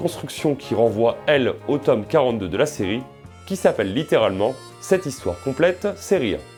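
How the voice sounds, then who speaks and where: Music plays behind a man speaking at a moderate pace. His pitch swings very widely. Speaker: comic book reviewer. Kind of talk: review narration.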